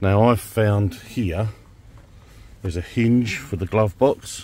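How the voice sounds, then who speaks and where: A man speaks at a fairly slow pace in a fairly low pitch with fairly even intonation. The sound is dry with no echo. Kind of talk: tutorial. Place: car.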